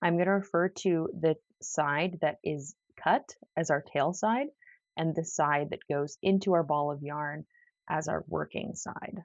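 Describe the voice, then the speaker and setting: A woman talks rather slowly in a very deep, low register. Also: ordinary pitch variation. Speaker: crochet teacher. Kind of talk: tutorial. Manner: casual.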